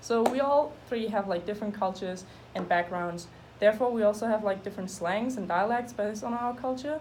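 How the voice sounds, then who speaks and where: Her pitch fairly high with ordinary variation, a woman speaks at a fairly quick pace. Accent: German. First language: German. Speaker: student. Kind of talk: class presentation.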